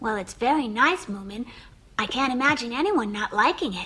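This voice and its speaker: A woman's high, cartoonish character voice at a fairly quick pace. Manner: calm, dry.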